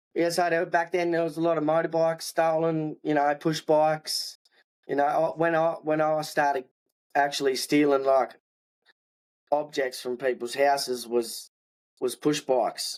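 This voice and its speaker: Speaking at a moderate pace, a man with fairly high pitch keeps his intonation fairly even. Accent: strong Australian. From Tasmania, Australia (Hobart area). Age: 20s. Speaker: hip hop artist, former prisoner. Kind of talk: podcast interview, life story.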